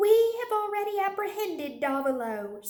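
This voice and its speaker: A woman uses a squeaky, put-on character voice at an extremely high pitch with very wide pitch swings. She keeps a moderate pace, and an echo is audible. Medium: read story. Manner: cold, sharp.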